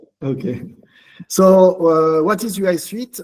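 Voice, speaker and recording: This man speaks with a strong French accent. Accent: thick French. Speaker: open-source software community leader. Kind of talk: online community meeting presentation. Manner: halting, many fillers.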